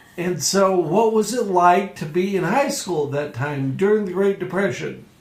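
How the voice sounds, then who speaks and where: A man speaks at a high pitch with lively intonation. Noticeable background noise runs behind him. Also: moderate pace. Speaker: talk show host. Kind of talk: interviewer questions.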